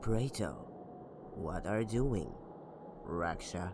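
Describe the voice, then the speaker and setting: Over loud background noise, a put-on character voice drawls at a very slow pace with a theatrical, sinister tone. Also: man, fairly low pitch for a man. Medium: audio drama. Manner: theatrical, smooth and sinister.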